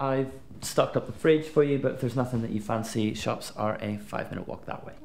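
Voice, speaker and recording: A man talks with big swings in loudness. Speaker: host showing guest the flat. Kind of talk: scripted drama dialogue. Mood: friendly, eager, chatty. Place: home room.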